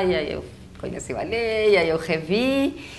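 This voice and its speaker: Speaking at a fairly slow pace with very wide pitch swings, a woman with a Uruguayan accent is heard over noticeable background noise and audible room echo. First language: Spanish (speaking Portuguese). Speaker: psychologist and educator. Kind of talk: casual chat. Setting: webcast.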